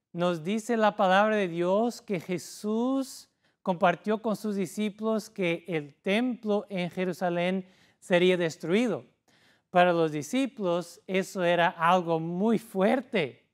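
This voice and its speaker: A man with a high voice speaks at a very slow pace and uses ordinary pitch variation. The recording is very clean, with a silent background. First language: not Spanish (speaking Spanish). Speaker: pastor. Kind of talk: sermon. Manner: halting.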